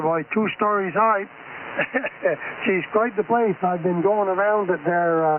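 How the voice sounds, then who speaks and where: Speaking with a Canadian Maritime accent at a high pitch, a man goes at a fairly slow pace with ordinary pitch variation against noticeable background noise. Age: 80s+. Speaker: amateur radio net controller. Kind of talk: radio net control. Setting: amateur radio transmission. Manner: folksy.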